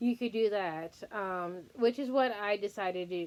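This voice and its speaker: Ordinary pitch variation marks a woman's speech at a moderate pace. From Texas. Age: 30s. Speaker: fitness vlogger. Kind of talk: casual personal vlog. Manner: hesitant, many filler words.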